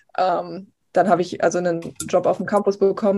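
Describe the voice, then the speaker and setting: A woman talks at a medium pitch with monotone, flat intonation. The background is quiet. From eastern Germany, Potsdam. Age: 20s. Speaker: TV news reporter. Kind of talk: casual interview.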